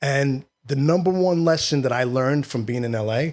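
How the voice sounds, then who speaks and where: Speaking with a New York accent, a man keeps a moderate pace, a medium pitch and fairly even intonation. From New York City, Queens. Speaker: actor and filmmaker. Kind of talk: casual interview.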